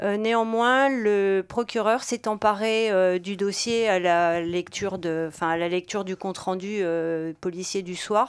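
Her pitch is medium for a woman. She speaks at a very slow pace with fairly even intonation. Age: 60s. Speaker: retired shopkeeper, protest activist. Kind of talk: testimony on community radio.

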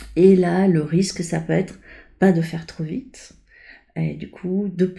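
A woman's somewhat breathy voice with a dark, mellow tone and monotone, flat intonation. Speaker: coach and painter. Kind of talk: interview conversation. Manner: halting, frequent repetitions and fillers.

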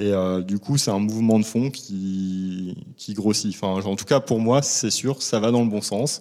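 A man with fairly low pitch and a dark, mellow tone, at a fairly slow pace with hardly any pauses and ordinary pitch variation, in a very clean recording with a silent background. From northern France, Lille. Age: 40s. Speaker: baker. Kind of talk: interview. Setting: on location at a shop.

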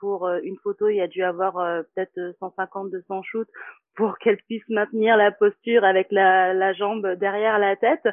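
A woman's voice at medium pitch, monotone and flat in intonation. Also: moderate pace. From Martinique. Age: 30s. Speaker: yoga teacher. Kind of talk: casual chat.

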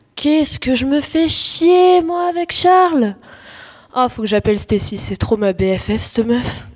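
Putting on a whiny character voice, a woman speaks at high pitch and a moderate pace. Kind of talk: slangy teen comedy. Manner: whiny, exasperated.

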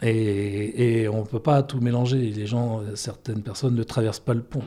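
A man talks at medium pitch with fairly even intonation. His tone is dark and mellow. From Brittany, Brest. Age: 50s. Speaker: photographer and gallery owner. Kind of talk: interview. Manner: hesitant, with fillers.

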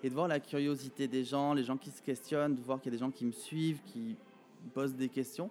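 A man's ordinary speaking voice, medium in pitch, with ordinary pitch variation and a fairly quick pace. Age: 30s. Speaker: pageant titleholder and show organizer. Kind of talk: interview.

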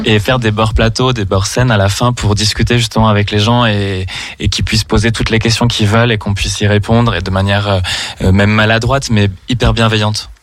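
Fairly low-pitched man speaking at a fairly quick pace, monotone and flat, with audible room echo and noticeable background noise. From Saint-Étienne, France. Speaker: drag queen. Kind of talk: radio interview.

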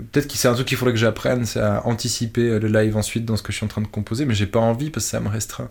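With fairly even intonation, a man of fairly low pitch sounds somewhat breathy. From Switzerland. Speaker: electronic musician. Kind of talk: interview. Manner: halting.

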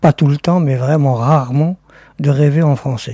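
A man with an Algerian accent speaks in a fairly high, somewhat breathy voice with a dark, mellow tone and fairly even intonation, recorded dry and close with no echo. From Algeria, Oran. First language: Algerian Arabic (speaking French). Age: 60s. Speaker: interviewee, producer's father. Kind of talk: recorded interview.

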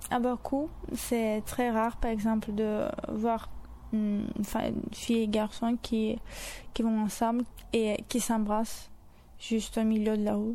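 A woman speaks very slowly with long, frequent pauses in a fairly high, dark, mellow voice that stays flat and monotone. The recording is very clean, with a silent background. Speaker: university student. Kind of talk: interview.

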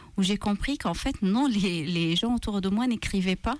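A woman speaks with a Maltese accent at a medium pitch with ordinary pitch variation. The recording is very clean, with a silent background. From Malta. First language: Maltese (speaking French). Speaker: author and translator. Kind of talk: radio interview. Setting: radio studio. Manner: hesitant, many fillers and repetitions.

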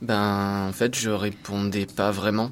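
A man's voice, fairly low in pitch. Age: 30s. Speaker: high school history-geography teacher. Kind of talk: testimony. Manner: halting.

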